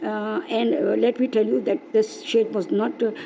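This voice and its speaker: Through noticeable background noise, a woman speaks with a fairly high pitch. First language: not English. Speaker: craft video maker. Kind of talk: craft tutorial. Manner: halting, many fillers.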